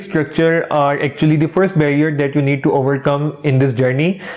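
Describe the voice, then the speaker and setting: A man with a non-native accent and fairly high pitch, fairly even intonation, a moderate pace, and noticeable background noise. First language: not English. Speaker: English teaching youtuber. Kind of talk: tutorial. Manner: casual, friendly.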